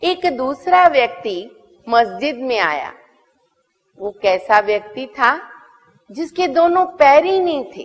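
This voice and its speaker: A high-pitched woman talks at a very slow pace, leaving long, frequent pauses. Her pitch swings very widely and her loudness rises and falls sharply. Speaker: spiritual teacher. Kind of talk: spiritual talk telling a moral story. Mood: warm, expressive storytelling. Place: studio.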